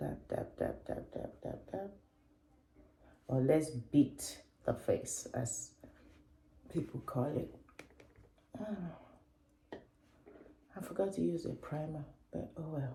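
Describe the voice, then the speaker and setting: A woman's very slow speech, broken by long, frequent pauses, with audible room echo. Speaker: beauty and lifestyle vlogger. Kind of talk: casual vlog chat, makeup tutorial. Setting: at home in her bathroom.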